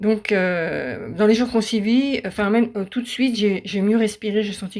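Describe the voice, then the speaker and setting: A woman's medium-pitched voice at a moderate pace, fairly even in intonation, on a very clean recording with a silent background. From western France. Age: 60s. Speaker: patient giving testimonial. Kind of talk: testimony. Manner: halting, many hesitations.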